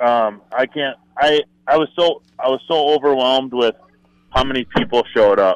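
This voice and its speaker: A man talks in a plain, everyday voice at a moderate pace. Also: medium pitch for a man, ordinary pitch variation. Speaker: store owner. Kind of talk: casual chat.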